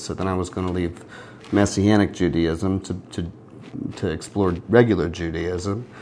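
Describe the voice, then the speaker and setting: A man with an American accent and a very deep, low pitch is heard over noticeable background noise. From US South, North Carolina (Gastonia area). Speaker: singer-songwriter. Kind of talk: interview. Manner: hesitant, many fillers and repetitions.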